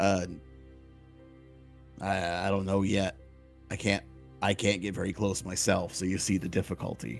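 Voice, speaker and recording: A raspy, put-on character voice at a moderate pace, long pauses coming often, clear music playing behind it. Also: man, very deep, low pitch for a man. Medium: actual play. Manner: casual, cocky, blunt.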